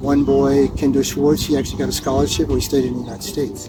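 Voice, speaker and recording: There is noticeable background noise as a man speaks. He talks at a moderate pace in a New Jersey accent. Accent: American, New Jersey. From US Northeast (New Jersey). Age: 70s. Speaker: tennis coach. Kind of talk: interview.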